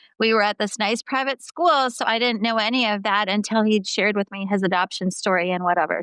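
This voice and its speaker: In a dry, close sound with no echo and a quiet background, a woman with a normal speaking voice talks fairly quickly at a fairly high pitch. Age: 50s. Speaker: clinical psychologist. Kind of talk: interview.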